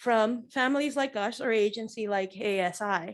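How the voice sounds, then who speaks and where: Fairly high in pitch, a woman speaks at a moderate pace with fairly even intonation. The recording is very clean, with a silent background. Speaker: bereaved mother. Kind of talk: press conference statement. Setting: press conference. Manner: loud.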